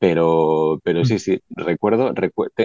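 A man speaks with a very deep, low pitch and a dark, mellow tone. The sound is dry and close, without echo. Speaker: band leader, musician. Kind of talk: panel discussion.

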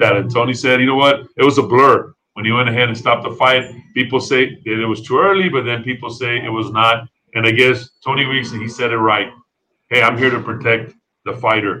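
This man has an ordinary speaking voice and an American accent, pitched in the medium range. He talks at a fairly quick pace with fairly even intonation. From Texas (El Paso). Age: 40s. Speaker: podcast host. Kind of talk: casual interview. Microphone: bad internet connection.

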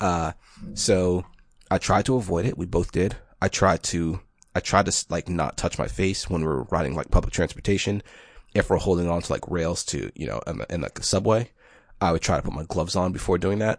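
Recorded dry and close with no echo, a man speaks in a very deep, low pitch with vocal fry and ordinary pitch variation. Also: fairly quick pace. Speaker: podcast co-host. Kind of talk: casual chat.

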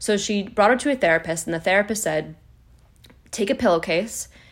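Recorded very cleanly over a silent background, a woman with a plain, everyday voice speaks at a fairly quick pace with lively intonation. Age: 30s. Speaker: wellness podcast host. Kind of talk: personal monologue.

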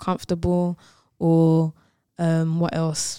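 Speaking at a very slow pace with a London accent, a woman is heard in a dry, close sound with no echo. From London, England. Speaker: singer and songwriter. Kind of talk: casual radio interview. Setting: radio studio. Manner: cheerful and laughing.

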